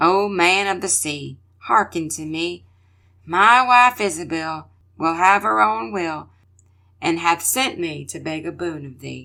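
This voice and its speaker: In a raspy, put-on character voice at a middle pitch, the speaker goes at a fairly slow pace over a very clean recording with a silent background. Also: female-sounding voice. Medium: read story.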